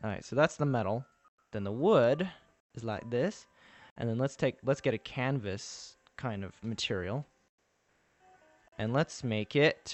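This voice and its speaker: Pausing long and often, a man talks at a fairly slow pace in a Texan accent. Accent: Texas accent today. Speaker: game developer streamer. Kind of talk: live stream tutorial. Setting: live stream at computer. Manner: casual, filler-heavy.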